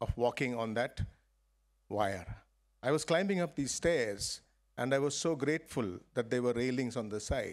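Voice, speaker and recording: A man speaks against a quiet background. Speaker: guest. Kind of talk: graduation speech. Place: stage. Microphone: podium.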